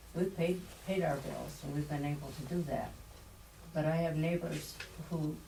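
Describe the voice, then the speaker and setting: A woman with a very deep, low pitch speaks in a monotone, flat way at a moderate pace, with noticeable background noise and audible room echo. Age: 80s+. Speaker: public commenter, district board member. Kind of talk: public comment at meeting.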